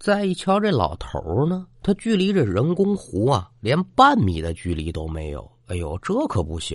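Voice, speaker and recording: Against a quiet background, a somewhat breathy man with a slight Tianjin accent talks at a fairly slow pace with hardly any pauses, medium pitch, very wide pitch swings and big swings in loudness. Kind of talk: storytelling. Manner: single narrating voice, no character voices.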